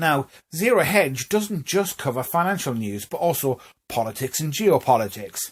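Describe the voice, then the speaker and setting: A man with a Newcastle accent speaks at a moderate pace in a somewhat breathy voice. His intonation is lively, and the recording is very clean with a silent background. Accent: Newcastle (Geordie). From northern England, Newcastle. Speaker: vlogger. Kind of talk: casual monologue to camera. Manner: rising intonation at phrase ends.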